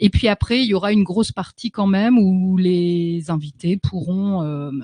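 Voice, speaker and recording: Somewhat breathy, with a dark, mellow tone, a woman talks fairly slowly at a fairly low pitch with ordinary pitch variation. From northern France, Lille. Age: 40s. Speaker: love coach. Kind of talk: radio interview.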